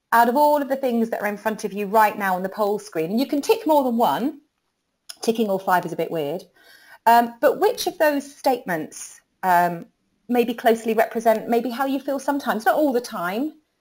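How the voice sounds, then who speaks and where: In a British accent, a woman speaks at a fairly high pitch. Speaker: recruitment marketing trainer. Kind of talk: webinar presentation. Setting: online webinar. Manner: fast; animated.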